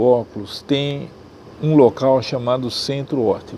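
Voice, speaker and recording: A man with a medium-pitched voice talks at a very slow pace over noticeable background noise. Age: 70s. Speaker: ophthalmologist. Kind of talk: interview.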